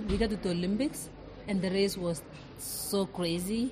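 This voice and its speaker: A woman's fairly even intonation amid noticeable background noise and audible room echo. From Kenya. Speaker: elite distance runner. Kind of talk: interview. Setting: restaurant, recorded live.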